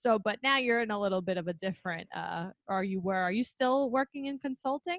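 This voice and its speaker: With a New York accent, a woman with a fairly high pitch talks at a fairly quick pace with hardly any pauses and lively intonation, the sound dry and close with no echo. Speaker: podcast host, speech-language pathologist. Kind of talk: casual chat. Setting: video call.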